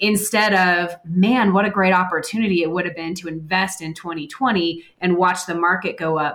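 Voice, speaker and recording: In an unremarkable speaking voice, a woman of medium pitch talks at a moderate pace with fairly even intonation and hardly any pauses. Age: 30s. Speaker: financial advisor. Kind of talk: interview.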